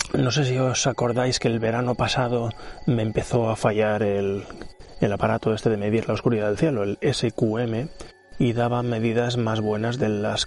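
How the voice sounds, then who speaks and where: With very even loudness and fairly even intonation, a man talks at a medium pitch and a moderate pace over noticeable background noise. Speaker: amateur astronomy podcaster. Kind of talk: observing session narration. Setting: outdoors on a terrace. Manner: soft-spoken; relaxed, calm.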